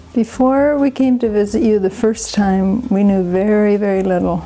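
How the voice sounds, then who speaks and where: A woman with a Canadian accent speaks at a medium pitch with fairly even intonation over noticeable background noise. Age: 70s. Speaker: interviewee, retired traveler. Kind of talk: casual interview.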